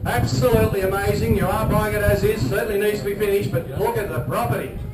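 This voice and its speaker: A man's voice over noticeable background noise. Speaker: auctioneer. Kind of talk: live property auction calling. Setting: outdoors, live crowd.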